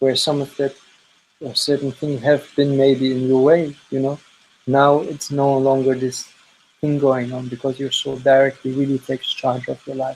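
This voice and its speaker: His intonation is monotone and flat. This man's pitch sits fairly high. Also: moderate pace. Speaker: energy healer. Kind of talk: energy reading session.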